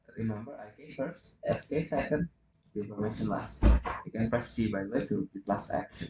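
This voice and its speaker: Music plays in the background as a man talks at a fairly quick pace. His pitch is medium, and his loudness swings widely. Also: lively intonation. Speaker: hobbyist 3D rigger. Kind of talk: software tutorial narration. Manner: un-energized.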